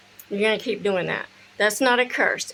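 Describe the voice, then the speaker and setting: A woman with a Southern US accent and a fairly high pitch keeps her intonation fairly even over light background noise. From US South. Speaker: spiritual practice vlogger; witchcraft content creator. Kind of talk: casual tutorial; casual vlog chat. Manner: casual, with fillers and swearing. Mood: relaxed, blunt. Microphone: phone near.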